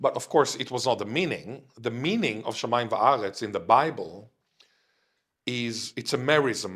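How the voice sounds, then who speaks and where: A man with an Israeli accent speaks at a moderate pace with lively intonation. The recording is very clean, with a silent background. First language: Hebrew (Israeli). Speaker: linguistics professor. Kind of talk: interview conversation.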